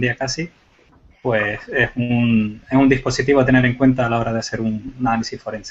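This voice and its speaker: Speaking at a very fast pace, a man uses a medium pitch. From Canary Islands. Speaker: computer forensics expert. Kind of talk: panel discussion.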